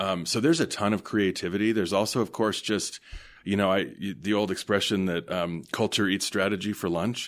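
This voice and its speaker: Speaking at a fairly quick pace with an American accent, a man uses an unremarkable speaking voice of fairly low pitch and ordinary pitch variation in a very clean recording with a silent background. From US West, Denver, Colorado. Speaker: hospital association executive. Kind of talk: interview.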